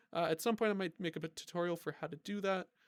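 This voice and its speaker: A man rattles along at a very fast pace. The recording is very clean with a silent background, dry and close with no echo. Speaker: gaming YouTuber. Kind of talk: gameplay commentary.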